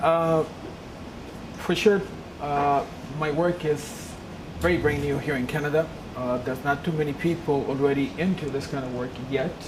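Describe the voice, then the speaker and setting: A woman with a Peruvian accent speaks at a moderate pace, her pitch very deep and low and her intonation fairly even. Audible room echo and noticeable background noise fill the recording. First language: Spanish. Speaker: lecturer on UFO phenomena. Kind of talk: lecture.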